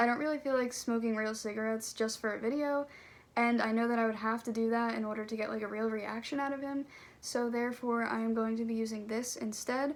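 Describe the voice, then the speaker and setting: A woman speaks very fast in a flat monotone, her pitch fairly high. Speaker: vlogger. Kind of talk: casual vlog chat. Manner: casual, lots of 'like'.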